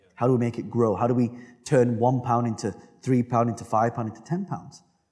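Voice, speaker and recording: This man has a British accent and a dark, mellow tone at a medium pitch. He speaks at a fairly quick pace with ordinary pitch variation. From United Kingdom. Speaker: entrepreneur. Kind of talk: interview answer.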